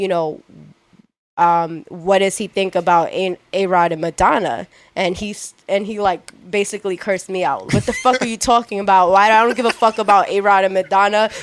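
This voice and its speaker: A woman with a Long Island accent, medium pitch and ordinary pitch variation. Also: moderate pace. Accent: New York (Long Island). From Long Island, New York. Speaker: publicist and former entertainment reporter. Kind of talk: casual chat. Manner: animated.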